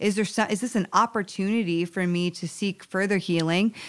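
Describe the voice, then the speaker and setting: The pace is moderate, in a normal speaking voice. Pitch varies in an ordinary way. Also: woman. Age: 30s. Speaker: relationship coach and author. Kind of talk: interview conversation.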